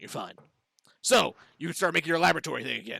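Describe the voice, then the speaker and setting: This is a man doing a put-on character voice. The sound is raspy. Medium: actual play. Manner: casual, hesitant with filler words.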